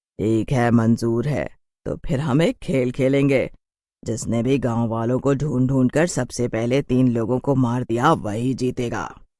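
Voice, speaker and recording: Over a silent background in a very clean recording, a man performs a cartoonish character voice at medium pitch and a fairly slow pace. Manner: sassy, haughty.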